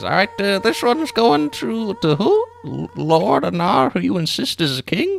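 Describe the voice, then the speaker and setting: A put-on character voice at a middle pitch runs on with hardly any pauses. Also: moderate pace. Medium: actual play.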